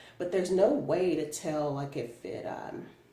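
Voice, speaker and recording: Her pitch swings very widely as a woman talks at a fairly slow pace. Audible room echo and noticeable background noise fill the recording. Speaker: product reviewer vlogger. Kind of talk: casual vlog. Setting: in a car. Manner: casual, filler-heavy.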